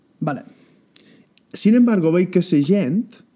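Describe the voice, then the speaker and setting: A man's dark, mellow tone with lively intonation at a fairly slow pace. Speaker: comedian guest. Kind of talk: casual chat. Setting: theatre.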